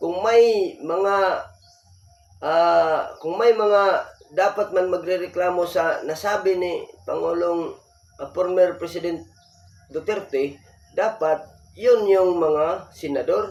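A man speaks at a very slow pace in a high pitch. His intonation stays fairly even. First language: Bisaya (speaking Tagalog). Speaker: political commentary vlogger. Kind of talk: opinion commentary monologue. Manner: halting, many fillers.

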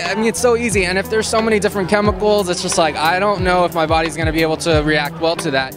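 With clear music in the background, a man speaks very fast at a high pitch with ordinary pitch variation, the sound dry with no echo. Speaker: interviewee. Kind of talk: interview answer. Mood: cheerful, earnest. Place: street. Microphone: handheld.

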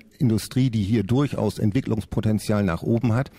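Speaking over a quiet background, a man has a dark, mellow tone and ordinary pitch variation. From Lower Saxony, Oldenburg; Lower Saxony. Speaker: parliamentary candidate; candidate. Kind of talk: radio panel debate. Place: studio.

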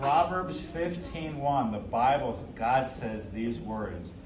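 Amid audible room echo, a man talks at a slow pace and medium pitch with lively intonation.

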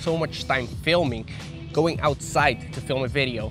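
A man's fairly high voice at a moderate pace, with ordinary pitch variation, a dry sound with no echo, and clear music in the background. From Aruba. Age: 20s. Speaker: fitness YouTuber and personal trainer. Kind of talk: casual talk to camera. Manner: frank, blunt. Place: garden. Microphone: lapel.

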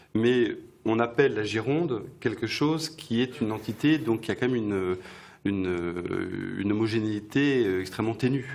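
Speech moves at a fairly slow pace. The pitch shows ordinary variation. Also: man, medium pitch for a man. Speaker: bookshop event host. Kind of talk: interview. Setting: stage with audience. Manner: halting.

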